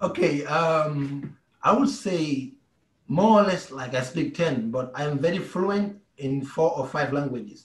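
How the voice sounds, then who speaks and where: A somewhat breathy man talks at a fairly slow pace with ordinary pitch variation. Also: fairly high pitch for a man. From Gambia. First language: Mandinka. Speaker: basketball player. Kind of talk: interview.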